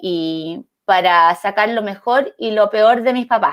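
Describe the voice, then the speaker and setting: In a normal speaking voice at medium pitch, a woman talks with ordinary pitch variation, the sound dry and close with no echo. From Chile, El Salvador mining town (Atacama). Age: 30s. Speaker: actress and comedian. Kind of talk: casual chat.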